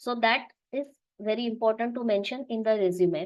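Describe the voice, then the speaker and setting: A woman speaks with a Marathi accent at a fairly high pitch. Her pace is moderate. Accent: Indian English, Marathi. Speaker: business analyst, webinar speaker. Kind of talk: webinar talk. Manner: halting, many fillers and restarts.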